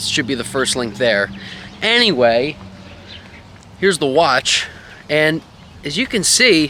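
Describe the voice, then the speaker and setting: Over noticeable background noise, a man with a fairly high pitch speaks at a fairly slow pace, his pitch swinging very widely between long, frequent pauses. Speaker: tech reviewer. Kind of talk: product review video.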